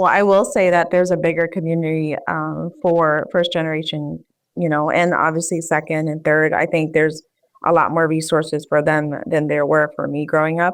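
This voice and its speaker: A woman with a Philadelphia accent, a very deep, low pitch and monotone, flat intonation at a moderate pace, against a quiet background. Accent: American, Philadelphia. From US, Philadelphia. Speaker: public health professional. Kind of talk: interview.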